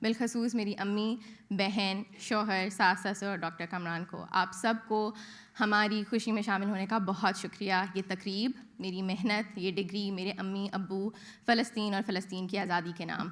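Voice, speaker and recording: A woman in a Pakistani accent, medium-pitched and monotone, at a fairly slow pace. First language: Urdu. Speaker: graduating student. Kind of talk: ceremonial welcome. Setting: auditorium with audience.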